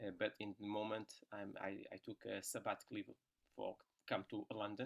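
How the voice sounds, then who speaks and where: A man speaks at a moderate pace. He has a Portuguese accent. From Portugal. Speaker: tuba player and brass teacher. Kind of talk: casual chat. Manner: halting.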